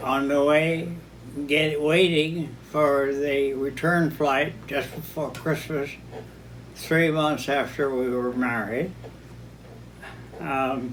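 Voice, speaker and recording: The speech moves at a very slow pace with long, frequent pauses and fairly even intonation. Audible room echo and noticeable background noise are present. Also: man, fairly high pitch for a man. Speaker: vineyard founder. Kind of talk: oral history interview. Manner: halting.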